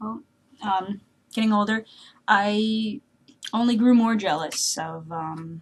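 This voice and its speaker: Somewhat breathy speech from a woman, ordinary in its pitch variation. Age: 20s. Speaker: vlogger. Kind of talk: casual vlog monologue. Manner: halting, many fillers.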